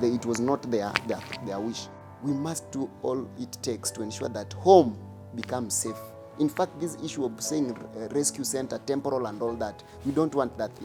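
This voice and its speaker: Music plays in the background behind a man. He speaks at a moderate pace and medium pitch with ordinary pitch variation. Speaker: activist against FGM. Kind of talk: advocacy speech to camera.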